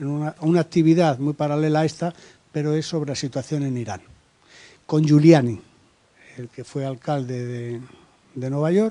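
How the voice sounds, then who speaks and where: A man speaks at a moderate pace in a fairly high, dark and mellow voice with ordinary pitch variation. His loudness swings a lot, and he takes long, frequent pauses. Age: 60s. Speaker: human rights activist, audience member. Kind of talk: round-table discussion, audience intervention. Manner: hesitant, with fillers.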